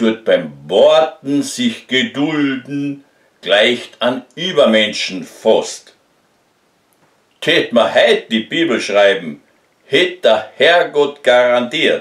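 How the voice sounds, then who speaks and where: A man with a Carinthian accent, very slow and very even in loudness, with audible room echo over a quiet background. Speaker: amateur poet. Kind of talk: poetry reading. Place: home room. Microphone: phone near.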